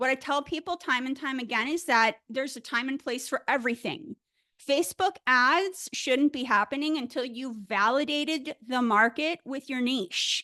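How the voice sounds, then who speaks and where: A raised, projected voice at a moderate pace, with ordinary pitch variation and a dry, close sound with no echo. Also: woman, high pitch for a woman. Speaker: business coach trainer. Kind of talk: live webinar training. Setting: live video stream. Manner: casual, upbeat.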